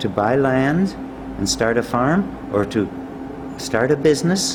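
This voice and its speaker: A man with a Canadian accent talks at a fairly slow pace with lively intonation. There is audible room echo and noticeable background noise. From northern Alberta, Canada. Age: 80s+. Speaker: retired monetary reform advocate. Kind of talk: interview. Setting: conference.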